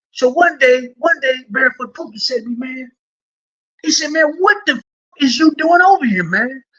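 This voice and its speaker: The voice is raised and projected, with a bright, sharp tone. It moves at a fairly quick pace. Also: man. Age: 60s. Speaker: former prisoner. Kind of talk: storytelling interview. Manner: rambling, halting with repetitions.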